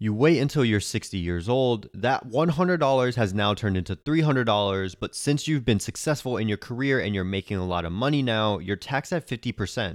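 An ordinary speaking voice from a man, medium in pitch, fairly quick in pace, with lively intonation and hardly any pauses, on a very clean recording with a silent background. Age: 20s. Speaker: personal finance podcast host. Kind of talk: scripted narration.

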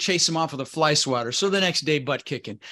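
An American man talks very fast with a bright, sharp tone. His pitch is fairly high, with ordinary variation. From Netherlands, raised in the US. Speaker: real estate investor and educator. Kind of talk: interview.

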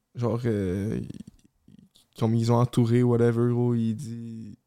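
Music plays in the background. The intonation is monotone and flat. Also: man. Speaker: podcast co-host. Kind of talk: casual chat.

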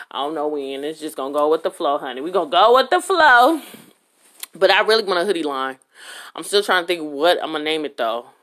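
The tone is animated, with lively intonation. Delivery comes at a fairly quick pace. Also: woman, fairly low pitch for a woman. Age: 30s. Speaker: podcast host. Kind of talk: casual solo monologue. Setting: at home.

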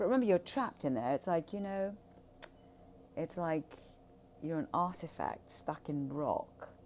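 This woman's voice makes very wide pitch swings, broken up by long, frequent pauses. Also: fairly low pitch for a woman, moderate pace. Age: 60s. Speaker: personal podcaster on trauma healing. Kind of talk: solo monologue. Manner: casual, rambling with fillers.

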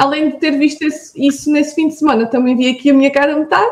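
Her pitch high, a woman speaks at a fairly quick pace. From Portugal, Alentejo (Vidigueira). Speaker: entrepreneur. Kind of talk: interview.

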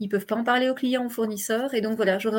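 A woman with fairly even intonation. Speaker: business coach and speaker. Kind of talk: interview. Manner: fast.

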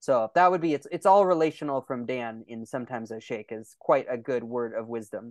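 A man with a Californian accent and a medium-pitched voice talks at a fairly quick pace with big swings in loudness, in a dry, close sound with no echo against a quiet background. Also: ordinary pitch variation. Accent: Californian American English. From California (Lodi). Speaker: documentary filmmaker and pastor. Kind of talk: interview.

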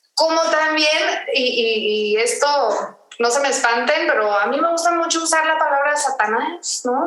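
Noticeable background noise and audible room echo accompany a woman's voice. Her intonation is lively. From Mexico, Tijuana. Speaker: podcast co-host. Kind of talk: casual chat. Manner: halting, repeats words.

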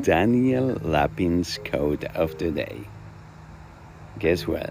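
A man speaks with a Spanish accent at a very slow pace, his pitch very deep and low with very wide swings. Noticeable background noise runs underneath. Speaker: host of a short daily quote recording.

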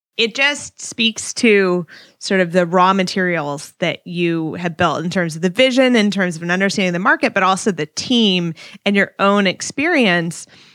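A woman talks in an ordinary speaking voice, medium in pitch and moderate in pace, with normal pitch movement on a very clean recording whose background is silent. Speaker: podcast co-host. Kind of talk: podcast interview.

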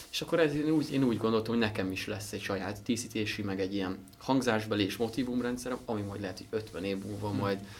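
Over noticeable background noise and audible room echo, a man talks at a very fast pace, fairly low in pitch, with ordinary pitch variation. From Hungary, Szentendre area. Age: young. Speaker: instrument maker. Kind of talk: interview. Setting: workshop. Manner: halting, many fillers and repetitions.

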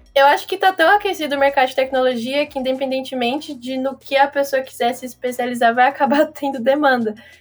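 Over music in the background, a woman with a high pitch talks at a very fast pace with hardly any pauses. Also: ordinary pitch variation. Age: 20s. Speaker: tech startup founder. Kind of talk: casual chat.

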